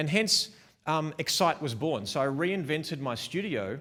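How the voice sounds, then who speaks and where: On a very clean recording with a silent background, a man with an Australian accent talks fairly slowly in an animated, bright and sharp tone with lively intonation. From Melbourne, Australia. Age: 40s. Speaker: wedding photographer. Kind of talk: conference talk. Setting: stage with small live audience, also streamed.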